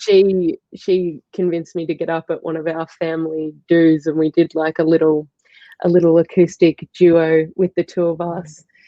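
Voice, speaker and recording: At a moderate pace, a woman with an Australian accent speaks in a fairly low, monotone voice. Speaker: musician. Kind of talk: interview.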